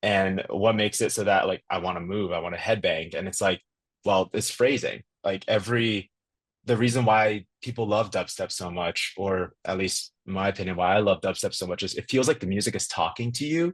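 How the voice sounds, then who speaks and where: Quiet background behind a man with a fairly low pitch. He talks at a fairly quick pace with ordinary pitch variation. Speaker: electronic music producer. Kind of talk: podcast interview. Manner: fast.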